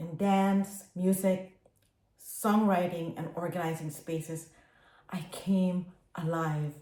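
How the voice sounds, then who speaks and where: Very slowly and with long, frequent pauses, a woman speaks in a dark, mellow, somewhat breathy voice, fairly low in pitch and flat, monotone in intonation. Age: 60s. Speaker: dyslexia advocate and public speaker. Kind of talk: prepared personal testimony. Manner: earnest, addresses the audience directly.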